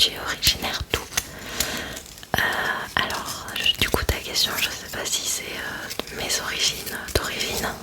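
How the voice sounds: The speech is whispered. It moves at a fairly slow pace. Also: woman.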